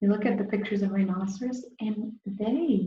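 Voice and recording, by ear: A passage is read aloud in a natural voice.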